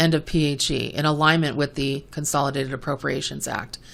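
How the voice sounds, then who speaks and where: A woman talking at a fairly quick pace. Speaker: podcast host, medical coding educator. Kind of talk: educational podcast monologue. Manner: fast; animated.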